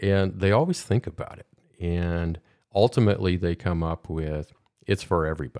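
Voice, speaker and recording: With a Midwestern American accent, a man with a very deep, low pitch speaks at a moderate pace with ordinary pitch variation on a very clean recording with a silent background. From US Midwest. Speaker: podcast host. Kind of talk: casual interview. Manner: halting.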